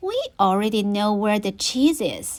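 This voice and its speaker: A woman uses a put-on character voice at a medium pitch and a moderate pace. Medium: read story.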